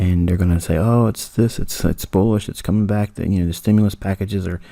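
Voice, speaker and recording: A man speaks at a very deep, low pitch with a dark, mellow tone and fairly even intonation. The recording is very clean with a silent background. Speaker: trading mentor. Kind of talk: tutorial.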